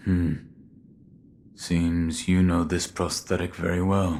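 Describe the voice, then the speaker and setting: A man puts on a character voice, very deep and low in pitch, at a fairly slow pace with monotone, flat intonation. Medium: video game. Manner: terse, low-key.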